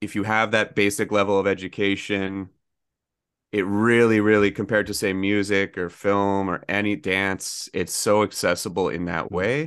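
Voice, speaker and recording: A man with a Canadian accent and a plain, everyday voice speaks at a moderate pace, fairly low in pitch with fairly even intonation, against a quiet background. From Ontario, Canada (Oshawa). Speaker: author. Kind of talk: casual interview.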